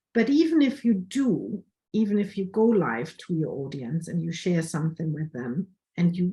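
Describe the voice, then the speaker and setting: In a strong German accent, a woman speaks somewhat breathily at a fairly slow pace, her pitch fairly low and her tone dark and mellow. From Germany. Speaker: photographer. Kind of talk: online workshop presentation.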